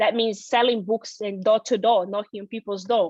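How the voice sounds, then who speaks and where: A woman speaks with a Brazilian Portuguese accent. Her pitch is fairly high. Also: dry, close sound with no echo. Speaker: financial seminar presenter. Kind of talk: personal testimony in a seminar.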